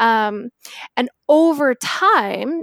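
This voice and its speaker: A woman speaks with a western Canadian accent in a dry, close sound with no echo. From Victoria, British Columbia, Canada. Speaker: personal finance guest, mother of four. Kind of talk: casual chat.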